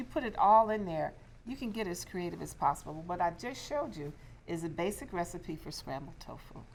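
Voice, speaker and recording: The voice has vocal fry and lively intonation, moving at a fairly quick pace. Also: woman, fairly low pitch for a woman. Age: 60s. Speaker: diversity and inclusion coach and public speaker. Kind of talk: cooking demonstration.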